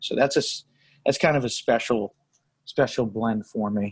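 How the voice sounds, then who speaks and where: With an American accent, a man speaks in an unremarkable speaking voice at a moderate pace with ordinary pitch variation, the sound dry and close with no echo. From Connecticut, New Haven area. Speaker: cigar maker and blender. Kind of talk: interview. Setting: cigar shop.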